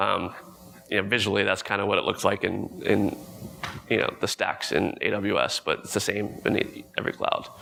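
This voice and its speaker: A man keeps a moderate pace while noticeable background noise fills the recording. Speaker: conference speaker, product manager. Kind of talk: conference talk with demo. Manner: casual with many fillers.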